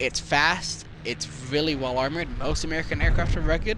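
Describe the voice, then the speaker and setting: Noticeable background noise is present throughout. Over it, a man speaks at a very fast pace. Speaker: video game guide creator. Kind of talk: game guide voice-over.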